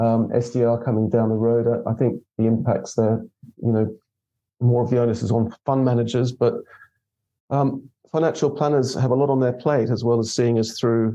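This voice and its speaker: Monotone and flat, a man speaks at a moderate pace and medium pitch with a dark, mellow tone and very even loudness. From Australia. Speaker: investment consultant. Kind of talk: podcast interview. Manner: halting, many repetitions and fillers.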